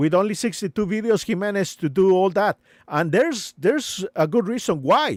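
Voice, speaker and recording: Here a man speaks with a high pitch and lively intonation at a moderate pace. The recording is very clean with a silent background, and the sound is dry and close with no echo. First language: not English. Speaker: live streamer. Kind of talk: live stream commentary. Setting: live stream. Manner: halting, many fillers.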